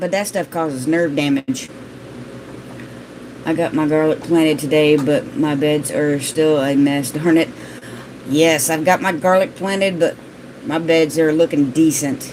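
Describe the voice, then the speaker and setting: Fairly slow speech with ordinary pitch variation, long, frequent pauses and noticeable background noise. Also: woman, very deep, low pitch for a woman. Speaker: gardening vlogger. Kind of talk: live stream chat reading viewer comments. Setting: live stream.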